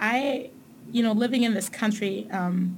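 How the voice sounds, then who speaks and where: A woman speaks at a moderate pace with a medium pitch. Her voice is somewhat breathy, with fairly even intonation. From Tanzania, raised in Germany. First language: German. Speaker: corporate manager. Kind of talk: casual interview.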